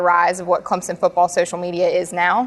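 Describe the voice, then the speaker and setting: With a South Carolina accent, a woman talks at a fairly quick pace. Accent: South Carolina twang, still has it. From US South, Carolinas (Charlotte area). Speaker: sports reporter and host. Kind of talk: casual interview chat. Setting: on location in front of a hall of fame.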